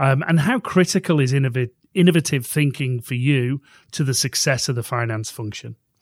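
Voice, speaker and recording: A somewhat breathy man at a medium pitch, fairly quick pace and ordinary pitch variation, dry and close with no echo, on a very clean recording with a silent background. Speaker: podcast host. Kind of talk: scripted intro then interview chat.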